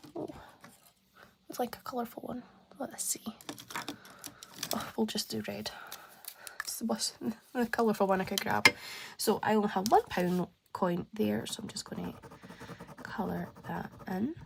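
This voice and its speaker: Through noticeable background noise, a woman with a Scottish accent speaks at a fairly slow pace with long, frequent pauses and big swings in loudness. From Scotland. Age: 20s. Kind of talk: casual talk to camera.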